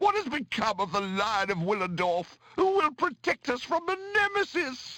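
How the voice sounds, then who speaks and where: In a put-on character voice, a man uses an extremely high pitch with very wide pitch swings, keeping a moderate pace and hardly any pauses. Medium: video game. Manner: authoritative, grave.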